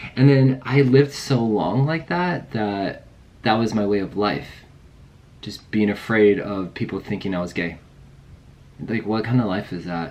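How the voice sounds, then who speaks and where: A man's fairly low voice with lively intonation, at a fairly slow pace broken by long, frequent pauses. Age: 30s. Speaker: vlogger. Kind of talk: personal testimony vlog. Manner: casual, hesitant with fillers.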